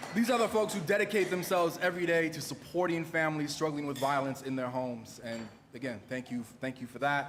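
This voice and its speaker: A man's very fast speech, with audible room echo and noticeable background noise. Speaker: event emcee, poet. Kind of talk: event emcee address to live audience. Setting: live event hall with audience. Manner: loud.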